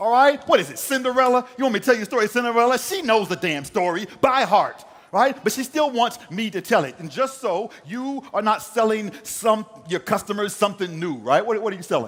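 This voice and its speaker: An animated man speaks at a moderate pace with lively intonation. Noticeable background noise runs behind him. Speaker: professional keynote speaker and poet. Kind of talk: energetic keynote talk to a live audience. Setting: live event stage before an audience. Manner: animated, conversational, rhythmic, humorous.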